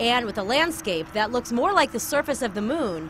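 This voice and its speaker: Over music in the background, a woman with a fairly high pitch talks at a moderate pace, her pitch swinging very widely. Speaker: reporter. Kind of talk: TV news report narration.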